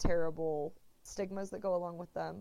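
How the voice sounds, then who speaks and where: Fairly low in pitch, a woman has an ordinary speaking voice with fairly even intonation. She talks at a fairly quick pace. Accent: American. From Texas. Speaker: writer. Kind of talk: interview.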